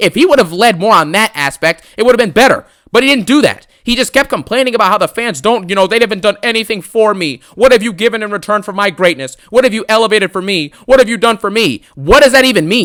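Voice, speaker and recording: A man with a high pitch talks loudly at a very fast pace, his animated tone bright and sharp and his intonation lively. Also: hardly any pauses. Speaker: wrestling commentary youtuber. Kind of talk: angry rant.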